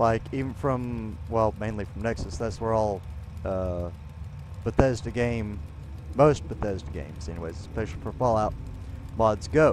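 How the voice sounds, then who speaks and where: Lively intonation at a moderate pace with long, frequent pauses, a dry sound with no echo, and light background noise. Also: man, fairly low pitch for a man. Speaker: gaming streamer. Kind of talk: live stream commentary. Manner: casual, halting with fillers.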